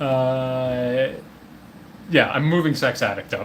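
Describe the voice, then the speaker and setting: This is a man talking. His pitch sits fairly high. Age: 20s. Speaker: streamer. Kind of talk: solo tier list commentary. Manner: fast; halting.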